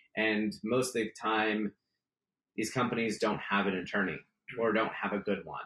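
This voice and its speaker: A man talks at a moderate pace with fairly even intonation and a bright, sharp tone. He leaves long, frequent pauses. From San Francisco Bay Area, California. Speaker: startup attorney and investor. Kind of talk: interview.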